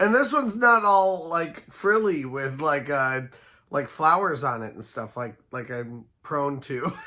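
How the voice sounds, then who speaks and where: A man speaks fairly slowly in a fairly high, bright, sharp voice. His pitch swings very widely and his loudness varies a lot. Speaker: theme park vlogger. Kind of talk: casual vlog commentary. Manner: hesitant, many fillers.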